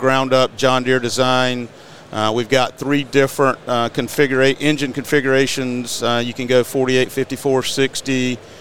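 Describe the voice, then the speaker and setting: Against noticeable background noise, a man with an American accent speaks at medium pitch and a fairly slow pace. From Eastern North Carolina. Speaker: mower company representative. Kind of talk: podcast interview. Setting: studio.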